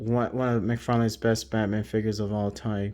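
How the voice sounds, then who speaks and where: The background stays quiet. A man talks in a medium-pitched voice. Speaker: toy collector YouTuber. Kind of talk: product review. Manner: quiet, hushed.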